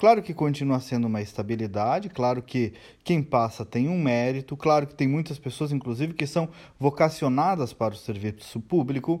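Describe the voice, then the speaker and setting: A man's ordinary speaking voice, fairly high-pitched, at a moderate pace with lively intonation, on a very clean recording with a silent background. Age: 40s. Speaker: commentator and business owner. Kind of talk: daily opinion commentary.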